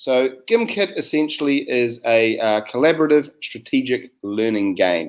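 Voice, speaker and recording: With a New Zealand accent, a man speaks at a medium pitch. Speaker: science educator. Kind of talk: webinar presentation. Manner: hesitant, many fillers.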